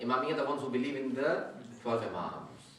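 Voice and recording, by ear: A man's bright, sharp tone rings through strong room echo.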